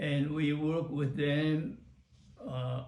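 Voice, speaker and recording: Talking at a very slow pace, a man with a fairly high pitch and ordinary pitch variation sounds somewhat breathy, with audible room echo around him. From Taiwan. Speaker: retired computer professional. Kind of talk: oral history interview. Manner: halting, many fillers.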